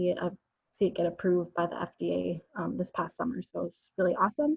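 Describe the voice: A woman at a fairly quick pace, fairly low in pitch, slightly mellow with a slightly husky edge and vocal fry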